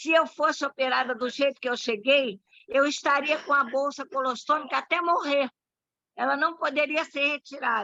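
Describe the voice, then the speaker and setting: A woman speaks in a raised, projected voice, high-pitched with a bright, sharp tone. The sound is dry and close with no echo, and she keeps a moderate pace with ordinary pitch variation. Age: 80s+. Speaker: club member commenting after a talk. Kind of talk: casual comment in virtual meeting.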